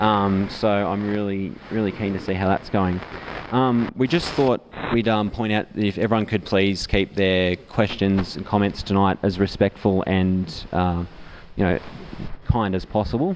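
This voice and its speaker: With an Australian accent, a man speaks at a moderate pace in a fairly low voice with fairly even intonation, against noticeable background noise. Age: young. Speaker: event moderator. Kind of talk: event introduction. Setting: pub with live audience.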